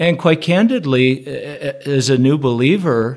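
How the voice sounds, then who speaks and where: A man's plain, everyday voice, fairly high in pitch with ordinary pitch variation, at a fairly slow pace on a very clean recording with a silent background. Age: 50s. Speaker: pastor. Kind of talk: casual chat.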